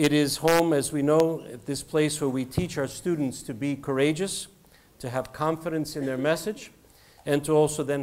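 The speaker is a man at a moderate pace. His intonation stays fairly even. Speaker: guest. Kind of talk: formal welcome speech. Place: hall.

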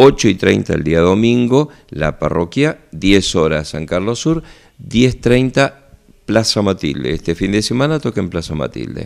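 A man's fairly low, creaky voice with vocal fry, very wide pitch swings, and a fairly slow pace against a quiet background. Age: 50s. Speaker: parish priest. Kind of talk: radio interview segment with parish announcements. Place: office. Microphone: handheld.

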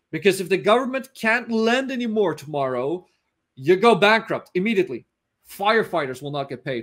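Over a quiet background, a man with a Dutch accent talks at a fairly quick pace, his pitch swinging very widely. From Netherlands. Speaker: finance analyst. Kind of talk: interview.

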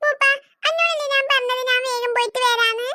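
A woman does a cartoonish character voice, extremely high-pitched, with ordinary pitch variation at a moderate pace. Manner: curt, irritated.

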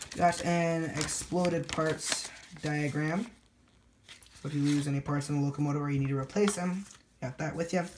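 A woman's very deep, low voice at a moderate pace, against noticeable background noise. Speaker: model train reviewer. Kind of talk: product review. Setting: home layout room. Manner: casual, animated.

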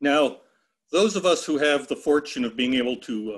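The background stays quiet. A man delivers his words at a moderate pace. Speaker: forest ecologist. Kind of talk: webinar presentation. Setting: video call. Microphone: video call.

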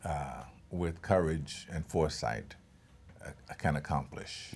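A man's voice with vocal fry, at a fairly slow pace. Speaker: actor being interviewed. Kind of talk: interview answer. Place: hall. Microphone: lapel.

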